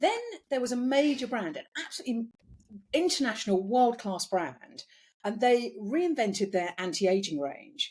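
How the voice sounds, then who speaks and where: Somewhat breathy, a woman talks at a moderate pace with very wide pitch swings. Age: 60s. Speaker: beauty business founder. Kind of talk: interview.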